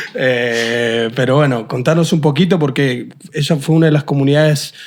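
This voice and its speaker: A man speaks at a medium pitch in a normal speaking voice. His intonation stays fairly even. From Argentina, San Juan. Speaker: podcast host. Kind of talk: interview.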